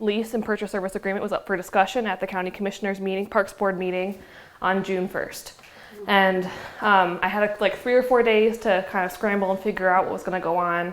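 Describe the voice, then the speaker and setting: A woman's voice sits at a medium pitch. She speaks with monotone, flat intonation. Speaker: executive director of an arts center. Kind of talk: public talk. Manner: fast.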